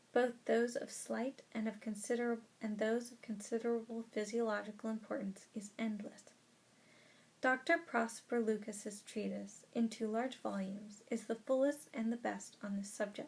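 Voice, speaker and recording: A woman speaks at a moderate pace with fairly even intonation. Her voice is fairly high and somewhat breathy. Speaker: audiobook reader. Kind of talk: audiobook reading of a nonfiction book.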